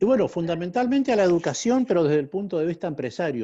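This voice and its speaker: Over a quiet background, a man talks at a very fast pace. His tone is dark and mellow. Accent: northeastern Argentine. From Argentina, Corrientes. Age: 60s. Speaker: school founder and entrepreneur. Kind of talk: interview.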